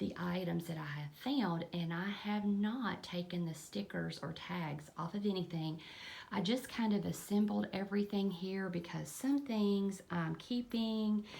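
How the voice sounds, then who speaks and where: A woman speaks in a Kentucky accent at a medium pitch. Her pitch varies in an ordinary way, and her pace is fairly slow. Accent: US Southern (Kentucky). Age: 50s. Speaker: lifestyle vlogger and eBay reseller. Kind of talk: casual vlog talk.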